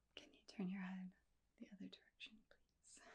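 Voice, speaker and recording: A woman speaks in a gentle tone. She is soft-spoken. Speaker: ASMR creator. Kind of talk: ASMR roleplay. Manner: soft-spoken, gentle.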